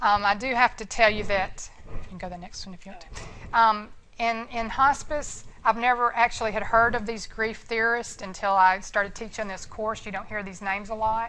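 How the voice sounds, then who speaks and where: A bright, sharp tone with audible room echo and big swings in loudness. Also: woman, fairly high pitch for a woman. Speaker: nursing instructor and hospice nurse. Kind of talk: lecture. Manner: fast; animated.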